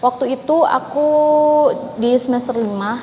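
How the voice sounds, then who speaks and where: Here a woman speaks with a high pitch at a moderate pace. Noticeable background noise is present. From Indonesia. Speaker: English-learning YouTuber. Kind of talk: casual tutorial vlog.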